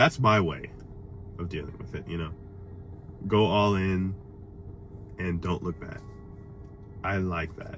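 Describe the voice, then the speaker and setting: With noticeable background noise behind him, a man with a very deep, low pitch speaks at a fairly slow pace, using long, frequent pauses, big swings in loudness and fairly even intonation. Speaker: motivational vlogger. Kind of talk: casual monologue. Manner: stuttering over words; halting.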